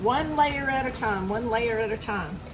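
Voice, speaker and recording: There is audible room echo and noticeable background noise. Through it, a woman speaks with a Southern US accent. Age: 60s. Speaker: home cooking vlogger. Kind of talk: cooking tutorial. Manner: casual, chatty.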